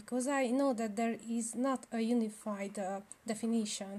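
A woman with a Hungarian accent speaks at a moderate pace, her fairly high pitch carrying a dark, mellow tone and fairly even intonation. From Romania (Hungarian minority). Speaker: podcast host. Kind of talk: interview. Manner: hesitant, many fillers.

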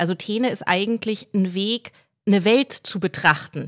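Recorded very cleanly against a silent background, in a dry, close sound with no echo, the speaker uses a normal speaking voice with ordinary pitch variation. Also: woman. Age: 30s. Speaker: novelist and journalist. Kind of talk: interview.

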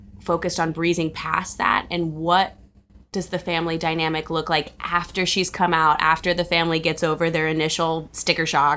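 A woman with an American accent, fairly low pitch and vocal fry, at a moderate pace. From Cincinnati, Ohio. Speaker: film producer and director. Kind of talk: interview.

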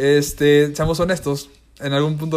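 Music is playing in the background. Over it, a man talks with a fairly high pitch. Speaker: podcast host. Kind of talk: solo monologue. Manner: fast.

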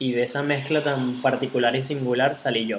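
This speaker has a Venezuelan accent and keeps the intonation fairly even. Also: man. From Venezuela, Caracas. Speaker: podcast host, entrepreneur. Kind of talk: casual chat.

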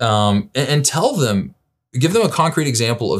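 A man with an American accent, a normal speaking voice at medium pitch, lively intonation and a fairly quick pace, on a very clean recording with a silent background. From US South, Birmingham, Alabama. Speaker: pastor. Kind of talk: interview conversation.

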